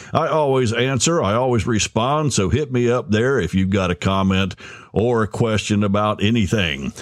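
A man's medium-pitched, ordinary speaking voice with very even loudness, a moderate pace and lively intonation. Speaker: podcast host. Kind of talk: podcast intro and interview. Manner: jokey, upbeat.

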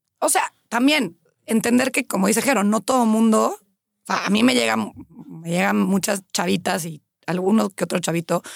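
Speaking at a moderate pace with lively intonation and vocal fry, a woman sounds dry and close with no echo. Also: medium pitch for a woman. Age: 30s. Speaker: personal trainer. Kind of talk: casual chat.

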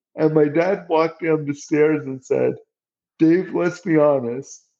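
A normal speaking voice from a man, fairly high in pitch, at a moderate pace with fairly even intonation. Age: 50s. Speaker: accessibility director at tech company. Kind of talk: interview.

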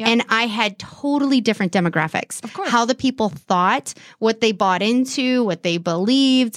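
At a moderate pace and with hardly any pauses, a woman with an American accent speaks at a fairly high pitch with lively intonation, in a dry, close sound with no echo. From California. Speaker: podcast host and business owner. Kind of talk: casual interview.

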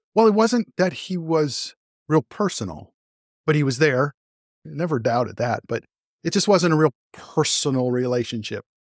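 Recorded dry and close with no echo in a very clean recording with a silent background, a man with a fairly high voice speaks at a moderate pace with lively intonation. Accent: Californian. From Los Angeles area, California. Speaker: guest telling conversion story. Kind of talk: interview testimony.

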